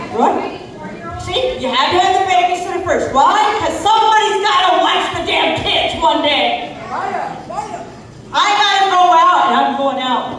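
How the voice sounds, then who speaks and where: Extremely high in pitch, a woman speaks at a fairly slow pace with lively intonation. Audible room echo and noticeable background noise surround her voice. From New Mexico. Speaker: comedian. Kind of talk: stand-up.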